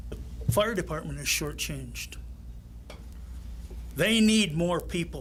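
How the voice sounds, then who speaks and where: In an American accent, a man speaks very slowly with long, frequent pauses, and his voice carries audible room echo. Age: 80s+. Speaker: retiree speaking at public comment. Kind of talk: public comment at township meeting.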